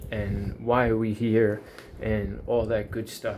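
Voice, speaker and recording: With music in the background, a man with a New York accent speaks at a moderate pace and a medium pitch, his intonation fairly even. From US, Long Island, New York. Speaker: YouTuber. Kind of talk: casual monologue.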